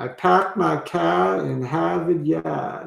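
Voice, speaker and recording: A man puts on a raspy character voice with a Boston accent at medium pitch. He goes at a fairly slow pace with very wide pitch swings. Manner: accent demonstration.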